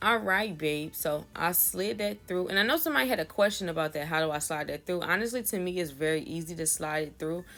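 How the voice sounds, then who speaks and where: Backed by music, a woman with a fairly low voice races along at a very fast pace with lively intonation and hardly any pauses. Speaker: wig maker. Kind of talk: tutorial. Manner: casual, with filler words.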